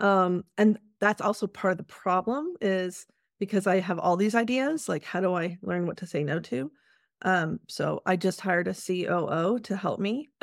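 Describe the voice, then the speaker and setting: Here a woman uses a plain, everyday voice, medium in pitch, at a moderate pace with ordinary pitch variation. The sound is dry and close with no echo, on a very clean recording with a silent background. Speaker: workplace wellness consultant and author. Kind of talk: casual interview chat.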